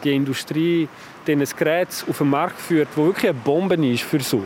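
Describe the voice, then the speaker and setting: Background noise is clearly present. The delivery is fairly quick. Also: man. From French-speaking Switzerland. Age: 40s. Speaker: family doctor and professor. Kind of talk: interview. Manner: friendly.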